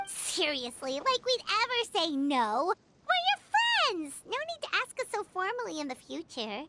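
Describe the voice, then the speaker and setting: Extremely high pitch in a put-on character voice, with very wide pitch swings at a moderate pace. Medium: game stream. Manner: lively, expressive.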